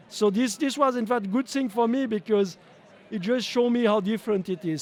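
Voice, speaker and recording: This man speaks with a French accent. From French-speaking Switzerland. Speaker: company owner and CEO. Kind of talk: interview. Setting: live at a trade show. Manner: halting, many fillers and repetitions.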